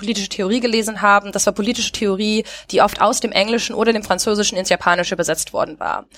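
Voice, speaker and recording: A woman's medium-pitched voice, very fast, with fairly even intonation. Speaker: podcast host. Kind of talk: casual chat. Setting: recorded remotely, separate locations. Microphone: new headset recording set.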